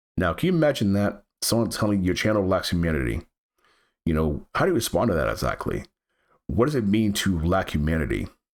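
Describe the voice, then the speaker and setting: Recorded very cleanly against a silent background, a man speaks fairly quickly in a very deep, low voice, his pitch swinging very widely while his loudness stays very even. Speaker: gaming YouTuber. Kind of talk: channel update talk to camera. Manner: halting, with repetitions.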